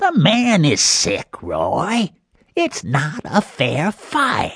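Putting on a character voice, a man speaks at a high pitch and a very slow pace with very even loudness, the sound dry and close with no echo. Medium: read story. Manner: worried, cautioning.

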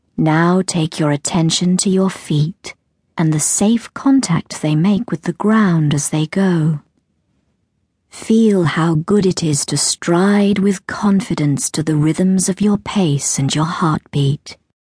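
At a very slow pace, a woman speaks in a fairly low pitch with a dark, mellow tone, a somewhat breathy quality, very even loudness and ordinary pitch variation, in a dry, close sound with no echo. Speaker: audiobook narrator. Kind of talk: guided meditation. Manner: soothing.

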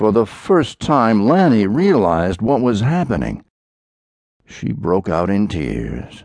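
A man speaks very slowly in a dramatic tone, his pitch swinging very widely. Vocal fry runs through his voice. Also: fairly low pitch for a man. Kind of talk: audiobook narration of a historical thriller. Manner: dramatic, grave, measured; voices characters in dialogue.

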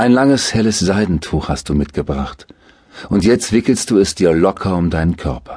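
A man with a very deep, low voice speaks in a soothing, calm tone, his intonation lively. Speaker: audiobook narrator. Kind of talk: guided meditation. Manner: slow, soothing, calm; hypnotic, gently paced with soft repetition.

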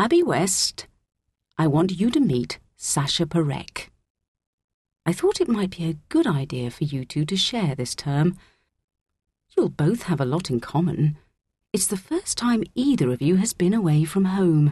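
A woman puts on a character voice, fairly low for a woman, with a slightly mellow tone and a slightly husky edge. Her pitch swings widely at a fairly slow pace. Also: very clean recording, silent background.

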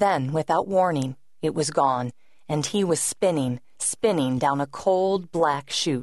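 Against a quiet background, the voice has a menacing, dramatic tone and moves at a fairly slow pace. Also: woman. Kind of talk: audiobook narration of a thriller. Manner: dramatic, tense, suspenseful; measured, brooding, with a dark, menacing edge.

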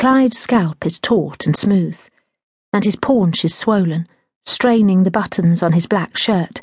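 The background stays quiet. The speaker uses a natural reading voice.

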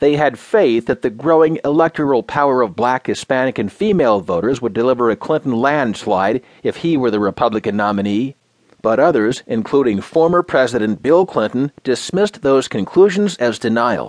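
A man speaks in an ordinary speaking voice at medium pitch and a moderate pace, with lively intonation, hardly any pauses, and a dry, close sound with no echo. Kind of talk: news reading. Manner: formal, even-paced, polished newsreader delivery; neutral and steady, with a crisp headline-style cadence.

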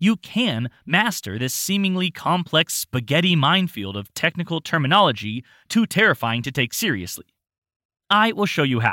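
A man with a fairly high pitch and vocal fry speaks in a dramatic, upbeat, bright and sharp tone with very wide pitch swings at a moderate pace, dry and close with no echo on a very clean recording with a silent background. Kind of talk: infomercial-style sales pitch, scripted audiobook narration. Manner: upbeat, punchy, salesy, tongue-in-cheek; dramatic, emphatic, with mock-sarcastic flourishes.

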